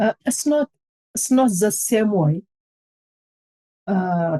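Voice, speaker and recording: A woman with an Ethiopian accent, somewhat breathy and dark, mellow in tone, with lively intonation at a very slow pace, in a dry, close sound with no echo. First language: Amharic. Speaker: charity co-founder. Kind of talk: testimony. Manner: halting.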